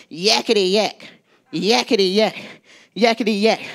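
Here a woman performs a put-on character voice at a medium pitch. It comes across shrill at a moderate pace. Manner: jabbering, mocking.

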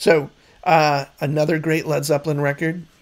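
Fairly even in intonation, a man talks with a fairly high pitch. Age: 50s. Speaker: music YouTuber. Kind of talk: casual monologue. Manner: hesitant, many fillers. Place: home room. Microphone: studio mic.

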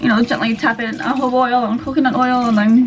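A woman's high-pitched voice in a relaxed tone, set against noticeable background noise. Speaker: vlogger. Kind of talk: casual vlog talk to camera. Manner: relaxed, chatty.

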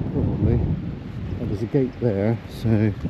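Noticeable background noise runs under a dry sound with no echo. A man talks with ordinary pitch variation. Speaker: walking vlogger. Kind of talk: casual vlog chat. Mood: light-hearted, self-mocking. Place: open country. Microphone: phone near.

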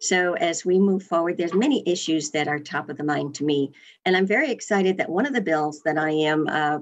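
Her voice is very deep and low for a woman, with an enthusiastic tone. She talks at a fairly quick pace over a quiet background. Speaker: state senator. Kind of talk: interview. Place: office. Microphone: webcam.

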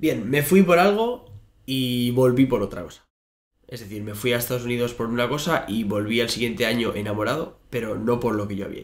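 Big swings in loudness come through as a man talks at a fairly quick pace. Pitch variation is ordinary and the background quiet. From Basque Country, Bilbao; Basque Country. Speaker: fitness coach and podcaster; podcast guest. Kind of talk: interview. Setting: in person at a university. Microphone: studio mic.

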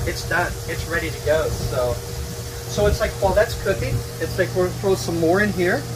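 A moderate pace from a man with an American accent, noticeable background noise behind. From Oklahoma. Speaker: YouTube cooking host. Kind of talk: cooking tutorial. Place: kitchen.

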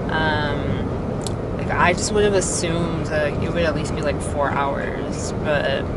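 Against loud background noise, a woman speaks at a very slow pace with a dry sound and no echo. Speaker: vlogger. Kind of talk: casual vlog chat. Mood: cheerful, excited. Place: car. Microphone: phone near.

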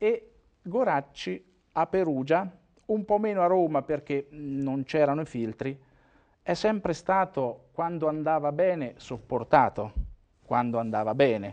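Over a quiet background, a man speaks with a fairly high pitch and lively intonation. His pace is fairly slow, with long, frequent pauses. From Umbria, Italy. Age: 50s. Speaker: former mayor and regional politician; former mayor, regional politician. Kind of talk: interview. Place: studio. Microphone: lapel.

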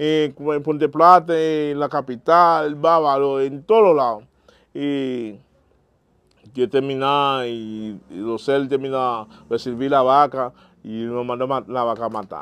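A fairly slow, fairly high-pitched man's voice with a Haitian accent and a dry sound with no echo. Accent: Haitian Creole-accented Spanish. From Haiti, Jacmel. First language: Haitian Creole (speaking Spanish). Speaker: vodou priest; interviewee. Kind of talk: interview. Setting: at his home. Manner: halting. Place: home room. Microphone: lapel.

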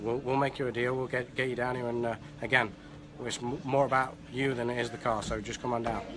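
Speech comes at a very fast pace in a monotone, flat intonation. There is noticeable background noise. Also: man, medium pitch for a man. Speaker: car salesman. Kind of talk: short promo spiel on camera. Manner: hesitant, filler-heavy, halting.

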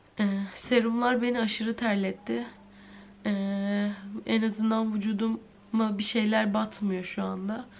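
Very slow and weary in tone, a woman speaks in a monotone, flat intonation over light background noise. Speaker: vlogger. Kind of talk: casual vlog chat. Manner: weary, ill, low-energy speech. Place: home room. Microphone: phone near.

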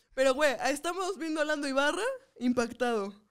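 A woman with a high voice speaks in an animated tone, her intonation lively. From northern Mexico. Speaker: comedian and podcast co-host. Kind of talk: casual chat. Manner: animated, frequent laughter.

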